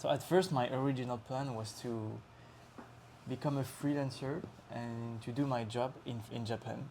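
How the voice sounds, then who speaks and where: In a French accent, a man with a dark, mellow, medium-pitched voice speaks at a moderate pace with fairly even intonation. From France, Lyon. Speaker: traveler on a working holiday. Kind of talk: casual chat. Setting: interview in Osaka. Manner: halting.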